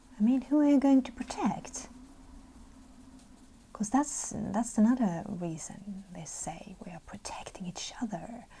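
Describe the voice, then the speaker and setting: Whispering and soft-spoken, the speaker moves at a fairly slow pace with long, frequent pauses. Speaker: ASMR colouring video creator. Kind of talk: ASMR-style soft-spoken commentary while colouring. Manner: soft-spoken, whispery.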